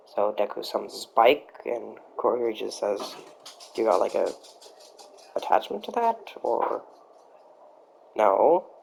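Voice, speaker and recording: The speech is mumbled and fairly slow, broken by long, frequent pauses. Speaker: amateur fan-fiction storyteller. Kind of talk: improvised storytelling. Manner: mumbling; halting. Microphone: USB mic not working right, poor sound; poor sound quality.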